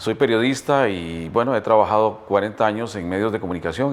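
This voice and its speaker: The speaker moves at a fairly quick pace in a very clean recording with a silent background. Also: man. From Costa Rica, Heredia. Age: 60s. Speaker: retired journalist. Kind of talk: testimony. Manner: hesitant with fillers.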